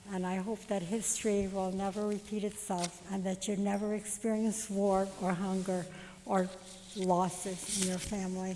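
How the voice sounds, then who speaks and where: Over noticeable background noise, a woman at medium pitch talks at a moderate pace in a monotone, flat way. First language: Yiddish. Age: 80s+. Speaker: Holocaust survivor. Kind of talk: testimony.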